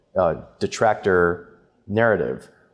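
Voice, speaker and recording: In a plain, everyday voice, a man speaks with fairly low pitch and ordinary pitch variation. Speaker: adjunct professor in sustainability, ex-stock exchange. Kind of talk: panel discussion webinar.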